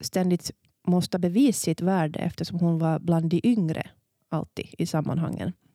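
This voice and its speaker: Moderately paced, a woman with a fairly low pitch and a dark, mellow tone is heard in a dry, close sound with no echo on a very clean recording with a silent background. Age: 40s. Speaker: podcast host and editor. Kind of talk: casual chat.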